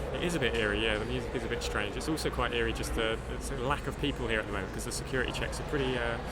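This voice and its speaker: A man rattles on at a very fast pace with hardly any pauses, amid noticeable background noise and audible room echo. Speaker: podcast host. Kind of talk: casual chat. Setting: exhibition hall at climate summit.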